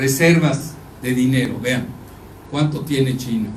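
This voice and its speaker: A man's fairly even intonation amid audible room echo and noticeable background noise. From Mexico. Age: 70s. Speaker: geopolitical analyst. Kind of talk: lecture. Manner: conversational, addresses audience directly.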